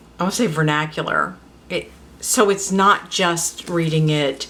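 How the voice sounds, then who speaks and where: Very deep and low, a woman's voice carries an American accent. Her pitch variation is ordinary. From Louisiana, Lafayette. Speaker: book vlogger. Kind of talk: casual talk and reading aloud. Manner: halting.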